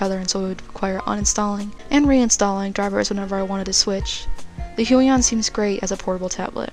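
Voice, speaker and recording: With music in the background, a woman talks at a very fast pace in a medium pitch and fairly even intonation. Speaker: digital artist. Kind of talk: product review voice-over.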